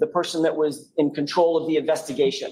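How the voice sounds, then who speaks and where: This man's voice sits at a high pitch. He speaks loudly. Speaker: defense attorney. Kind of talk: courtroom cross-examination. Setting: courtroom. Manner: raised voice, loud; formal.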